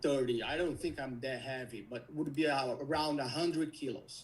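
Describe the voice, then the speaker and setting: This is a man speaking. He has a Brazilian Portuguese accent. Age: 40s. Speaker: caller seeking health coaching. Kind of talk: live call-in conversation. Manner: halting.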